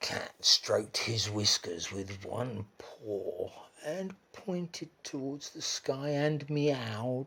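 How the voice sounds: Lively intonation in a natural reading voice.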